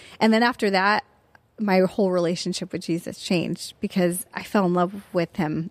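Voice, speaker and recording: A woman speaks at a moderate pace with fairly even intonation. The sound is dry and close, without echo. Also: medium pitch for a woman. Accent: Californian. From US West Coast, Orange County, California. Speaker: former university professor and writer. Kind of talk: casual interview about faith testimony.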